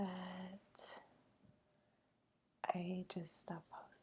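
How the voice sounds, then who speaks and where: Whispering, the speaker goes at a very slow pace. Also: woman. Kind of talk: ASMR whispered plant show-and-tell. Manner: whispered, soft-spoken.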